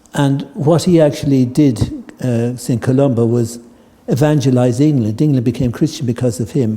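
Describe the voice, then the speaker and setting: Moderate in pace, the speech shows ordinary pitch variation. Its tone is dark and mellow, and somewhat breathy. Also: man, medium pitch for a man. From Ireland. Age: 70s. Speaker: tai chi teacher. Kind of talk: talk to a group. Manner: hesitant, with many fillers.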